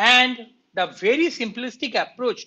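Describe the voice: A man talks at a moderate pace. His tone is bright and sharp.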